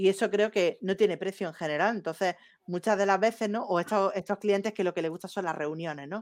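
In an Andalusian accent, a woman talks at a fairly quick pace and medium pitch with fairly even intonation. The recording is very clean with a silent background, the sound dry and close with no echo. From Andalusia, Spain. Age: young. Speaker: marketing professional. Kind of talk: casual chat.

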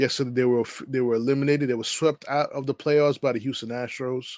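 A man with an American accent speaks at a medium pitch and moderate pace on a very clean recording with a silent background. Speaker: podcast host. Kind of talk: sports podcast monologue, casual chat. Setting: podcast recording.

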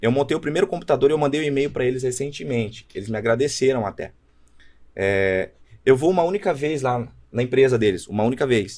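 Talking at a very fast pace, a man keeps a medium pitch and lively intonation. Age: 20s. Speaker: startup founder. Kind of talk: casual chat.

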